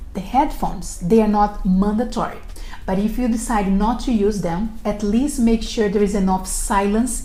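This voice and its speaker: A woman with a non-native accent speaks at a moderate pace and medium pitch. Her intonation is fairly even, with audible room echo. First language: not English. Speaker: recruiter and career advice video host. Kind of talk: scripted tutorial. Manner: formal.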